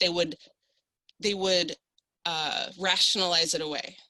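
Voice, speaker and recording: An animated woman with a Midwestern accent, medium-pitched, at a fairly slow pace. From South Dakota, Sioux Falls. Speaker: panelist. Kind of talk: panel discussion.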